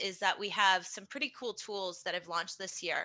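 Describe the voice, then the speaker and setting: With an American accent, a woman speaks at a fairly quick pace, her medium pitch showing ordinary variation. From New York. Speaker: pool chemical industry representative. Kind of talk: webinar panel presentation. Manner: fast.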